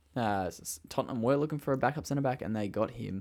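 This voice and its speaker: Here a man speaks with an Australian accent. The recording is very clean, with a silent background. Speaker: podcast co-host. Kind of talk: casual chat.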